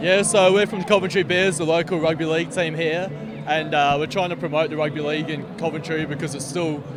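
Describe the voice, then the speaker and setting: Amid noticeable background noise and audible room echo, a man with a fairly high pitch speaks at a fairly quick pace with ordinary pitch variation. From Australia, Gold Coast. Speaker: rugby league player and community coach. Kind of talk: casual interview.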